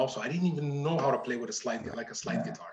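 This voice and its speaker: A man speaks with lively intonation. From Morocco. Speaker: blues musician. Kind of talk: interview. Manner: halting.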